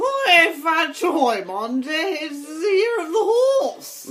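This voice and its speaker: Putting on a character voice, a woman talks very slowly at an extremely high pitch with very wide pitch swings. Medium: comedy sketch. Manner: coy, flirtatious.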